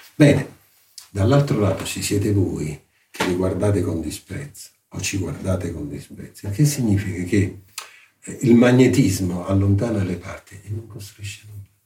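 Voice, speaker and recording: Somewhat breathy and dark, mellow in tone, a man speaks in a fairly low pitch with ordinary pitch variation. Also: moderate pace. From southern Italy, Salerno area. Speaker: art history professor. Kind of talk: interview.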